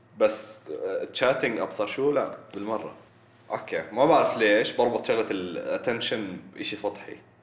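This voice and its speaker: Noticeable background noise sits under the recording. A man speaks at a moderate pace. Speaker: guest, university student. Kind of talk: casual chat.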